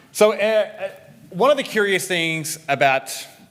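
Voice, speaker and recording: This man speaks with a New Zealand accent and lively intonation. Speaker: security researcher and developer advocate. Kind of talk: conference talk.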